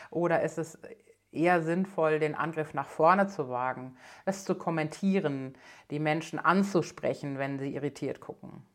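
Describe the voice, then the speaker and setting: The woman's voice is very deep and low in pitch, moving at a moderate pace with ordinary pitch variation. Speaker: leadership coach. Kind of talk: solo podcast talk.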